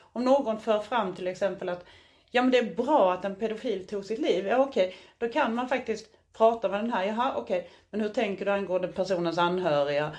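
A normal speaking voice at a fairly quick pace with ordinary pitch variation over a quiet background. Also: woman, medium pitch for a woman. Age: 40s. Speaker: podcast co-host. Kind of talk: casual chat. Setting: hotel room.

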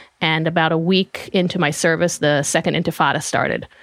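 In an Israeli accent, a woman with a fairly low pitch talks at a moderate pace. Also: very even loudness. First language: Hebrew. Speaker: social media strategist. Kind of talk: interview.

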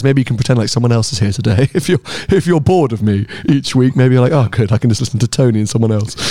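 Talking at a very fast pace with a British accent, a man of medium pitch keeps his loudness very even, his tone dark and mellow and his intonation lively. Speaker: motoring podcast host and car YouTuber. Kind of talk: casual chat.

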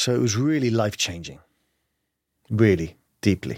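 Recorded very cleanly against a silent background, a man with a London accent talks at a moderate pace. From London, England. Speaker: kindness adventurer and author. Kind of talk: casual interview conversation.

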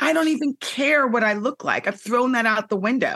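Her voice is high-pitched, with a bright, sharp tone. The woman keeps a moderate pace and ordinary pitch variation. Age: 50s. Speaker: TV host and former dancer. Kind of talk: casual chat.

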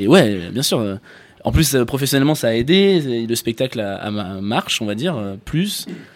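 Medium pitch from a man, swinging very widely, at a moderate tempo. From France. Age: 20s. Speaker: comedian. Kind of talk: casual chat.

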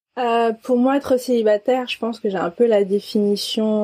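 This woman has a dark, mellow tone and fairly even intonation at a moderate pace. The sound is dry and close, with no echo. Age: 20s. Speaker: podcast guest. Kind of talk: intimate interview, personal testimony. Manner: halting, many hesitations.

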